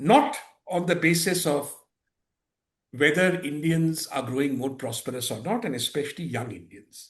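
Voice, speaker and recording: A man with a fairly high, somewhat breathy voice speaks here. He keeps a moderate pace and lively intonation. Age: 50s. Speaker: economist. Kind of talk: interview. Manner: articulate.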